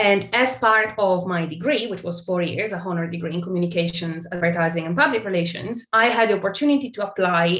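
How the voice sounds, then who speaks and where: A woman talks with an Italian accent. Her pitch is fairly low, with ordinary pitch variation. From Italy. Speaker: tech brand partnerships marketer. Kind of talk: interview.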